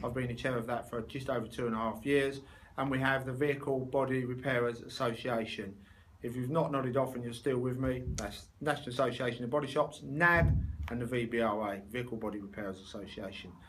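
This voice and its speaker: Spoken very fast with a London accent, the voice carries audible room echo. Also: man, medium pitch for a man. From London, England. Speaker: body shop owner and trade association chair. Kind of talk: video interview for a conference. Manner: animated, jokey conversational.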